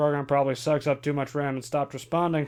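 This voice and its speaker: A man talks at a very fast clip in a put-on character voice, his fairly high pitch held in a flat, monotone line. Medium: audio drama. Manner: sarcastic, profane, hot-tempered.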